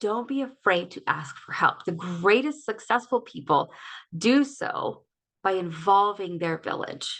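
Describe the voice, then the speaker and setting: A woman's plain, everyday voice at a moderate pace, with ordinary pitch variation and a quiet background. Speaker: life coach. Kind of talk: online workshop talk. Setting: livestream.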